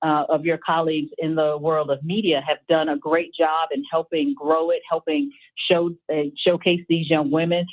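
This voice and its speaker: A woman talks in a normal speaking voice at a fairly low pitch, with fairly even intonation and a moderate pace. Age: 50s. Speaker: college athletics administrator. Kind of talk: radio interview. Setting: radio broadcast.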